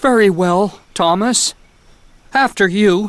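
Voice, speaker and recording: A female-sounding cartoonish character voice sits at a middle pitch. It moves at a fairly slow pace. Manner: polite, fretful.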